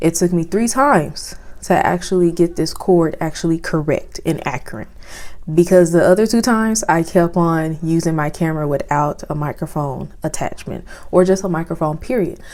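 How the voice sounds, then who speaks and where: Over noticeable background noise, a woman with a fairly low voice talks at a moderate pace. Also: ordinary pitch variation. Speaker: beauty and lifestyle YouTuber. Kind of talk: casual product review vlog. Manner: casual.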